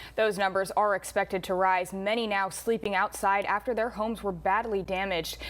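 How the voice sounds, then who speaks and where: At a fairly quick pace with hardly any pauses, a woman speaks at medium pitch with monotone, flat intonation and very even loudness. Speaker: news reporter and anchor. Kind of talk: news anchor read.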